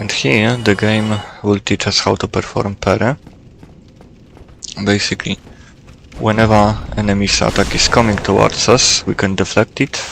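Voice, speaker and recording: With a non-native accent, a man speaks in a fairly low voice at a moderate pace with fairly even intonation and long, frequent pauses, over noticeable background noise. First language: not English. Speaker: gaming YouTuber. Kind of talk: gameplay tutorial commentary.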